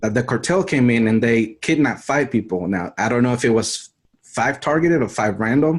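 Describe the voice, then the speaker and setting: With an American accent, a man speaks in a normal speaking voice at medium pitch with ordinary pitch variation. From Mexico City, Mexico until age 10, then US. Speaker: survival channel creator. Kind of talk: interview.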